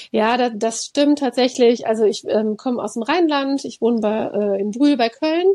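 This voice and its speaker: A woman speaks at a moderate pace with a high pitch. Her tone is dark and mellow. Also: ordinary pitch variation, hardly any pauses. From Rhineland, Germany. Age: 40s. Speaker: creative workshop trainer. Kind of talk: casual chat.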